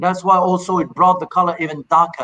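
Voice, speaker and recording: This man's pitch is high. He talks in a raised, projected voice. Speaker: master blender, rum producer. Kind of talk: casual discussion, technical explanation. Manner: halting, many repetitions.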